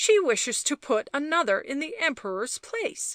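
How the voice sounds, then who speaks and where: A woman puts on a character voice at a high pitch, swinging her pitch very widely at a moderate pace. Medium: read story. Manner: terse, cryptic.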